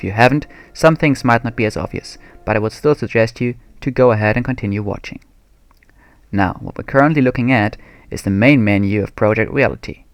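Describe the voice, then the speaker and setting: On a very clean recording with a silent background, a man with a slight non-native accent speaks very fast in a medium pitch. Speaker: video game tutorial maker. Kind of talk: tutorial. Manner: formal.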